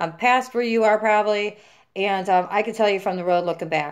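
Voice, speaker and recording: Recorded very cleanly against a silent background, a normal speaking voice moves at a fairly quick pace. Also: woman. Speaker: vlogger sharing injury recovery experience. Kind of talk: casual vlog monologue. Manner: casual, filler-heavy.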